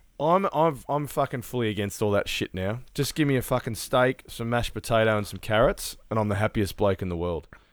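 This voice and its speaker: A man speaks at medium pitch and a fairly quick pace, with hardly any pauses and an unremarkable speaking voice. His intonation is lively. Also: very clean recording, silent background. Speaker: podcast co-host. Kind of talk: casual chat. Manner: profane, laughs often.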